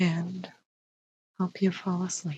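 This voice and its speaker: Soft-spoken and somewhat breathy, a woman with a fairly low pitch talks in a monotone, flat intonation. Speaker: ASMR storyteller. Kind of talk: sleep story.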